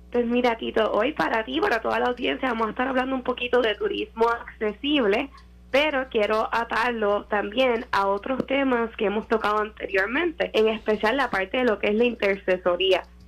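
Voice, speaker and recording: The voice moves at a moderate pace with hardly any pauses, its loudness very even and its pitch variation ordinary. Noticeable background noise sits behind it. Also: woman, fairly high pitch for a woman. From Puerto Rico. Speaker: media and communications consultant. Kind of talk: radio interview.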